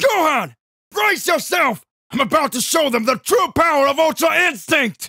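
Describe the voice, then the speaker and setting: A man speaks in a put-on character voice at a moderate pace. His pitch is extremely high. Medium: read story.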